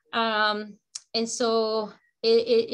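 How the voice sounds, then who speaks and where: A woman speaks with a Spanish accent at a fairly high pitch. The recording is very clean, with a silent background. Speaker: educator and immigrant advocate. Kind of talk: community meeting remarks. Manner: halting, many fillers.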